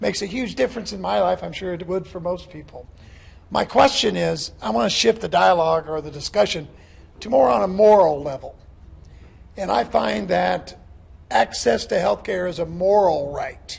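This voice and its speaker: This man's voice sits at a high pitch. His pitch swings very widely. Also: moderate pace, big swings in loudness. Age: 60s. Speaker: audience member. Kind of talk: public question at town hall. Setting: town hall with audience.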